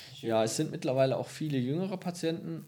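The man's voice has a dark, mellow tone. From Münsterland, northwestern Germany. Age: 30s. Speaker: senior physician, diabetologist. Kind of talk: casual interview. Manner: hesitant with fillers. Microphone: poorly set microphone, hard to understand.

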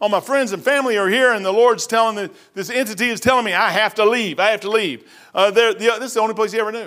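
In a very clean recording with a silent background, a high-pitched man talks very fast in an animated, bright, sharp tone. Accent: Kentucky. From Kentucky. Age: 60s. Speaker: pastor. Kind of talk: sermon. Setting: church.

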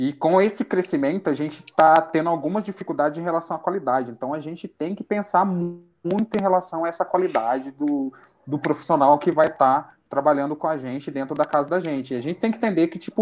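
A man talks at a very fast pace with hardly any pauses, his voice high with ordinary pitch variation. His loudness swings a lot. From Brazil, southern Minas Gerais (Itajubá). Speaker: local council pre-candidate. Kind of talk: interview. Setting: live-streamed podcast.

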